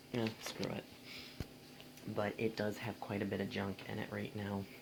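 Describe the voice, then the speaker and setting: A soft-spoken man talks at a fairly low pitch. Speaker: vacuum cleaner hobbyist vlogger. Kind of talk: product review. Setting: bedroom at home. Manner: hesitant, many fillers.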